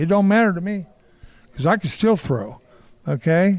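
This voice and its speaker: At a moderate pace, this speaker talks with a Midwestern American accent and lively intonation. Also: man. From Kansas City, Kansas. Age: 60s. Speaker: martial artist and former boxer. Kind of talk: interview. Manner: animated.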